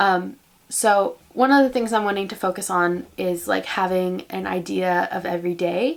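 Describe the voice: A woman at a medium pitch and a moderate pace, with fairly even intonation and vocal fry.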